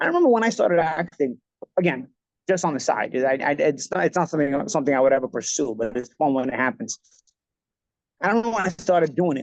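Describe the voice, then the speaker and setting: Speaking very fast with lively intonation, a man with an American accent and fairly high pitch comes across in a dry, close sound with no echo. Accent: old-school Italian American New York. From New York, Bensonhurst Brooklyn. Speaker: former pro boxer, podcast host. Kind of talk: casual chat. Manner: animated.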